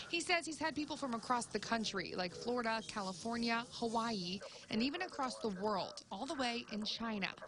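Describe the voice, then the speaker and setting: A woman talks in an ordinary speaking voice at a moderate pace, with hardly any pauses. Her pitch is fairly high and her intonation lively. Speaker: TV news reporter. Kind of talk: TV news report voice-over.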